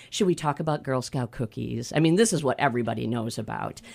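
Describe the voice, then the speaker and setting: Her voice very deep and low in pitch, a woman speaks with a warm tone and vocal fry. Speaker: radio host. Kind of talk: radio interview. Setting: studio. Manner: warm, laughs often.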